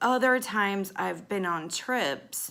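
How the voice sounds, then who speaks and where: Her bright, sharp tone carries ordinary pitch variation as the woman talks at a fairly slow pace. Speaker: life coach. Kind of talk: casual monologue podcast.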